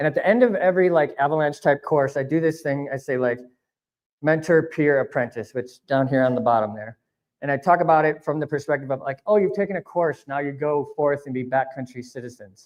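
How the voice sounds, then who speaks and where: A man talks at a fairly quick pace with a fairly high pitch. It is a normal speaking voice with ordinary pitch variation. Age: 40s. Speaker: avalanche instructor. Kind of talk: public talk. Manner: casual, filler-heavy.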